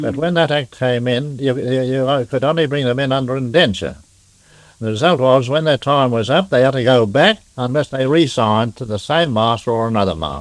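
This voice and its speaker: Speaking at a fairly quick pace with an Australian accent, a man uses medium pitch and ordinary pitch variation. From Melbourne, Australia. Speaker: pearling master. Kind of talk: oral history interview answer. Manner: sober, humorous.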